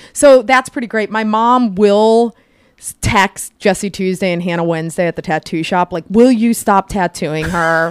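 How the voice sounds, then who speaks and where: A woman with an American accent has a normal speaking voice, medium in pitch, with ordinary pitch variation and a fairly slow pace. The recording is very clean with a silent background, and the sound is dry and close with no echo. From Ohio, Cleveland area (Parma). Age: 40s. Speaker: coffee shop owner. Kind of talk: casual chat.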